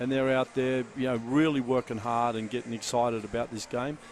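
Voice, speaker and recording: A man speaks at medium pitch and a fairly quick pace. He has an unremarkable speaking voice. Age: 60s. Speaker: basketball coach. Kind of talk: courtside interview.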